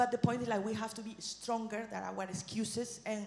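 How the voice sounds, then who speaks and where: Speaking at a very fast pace in a Spanish accent, a woman is heard through audible room echo and noticeable background noise. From southeast Spain (Murcia region). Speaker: regional politician. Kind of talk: conference speech. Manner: animated.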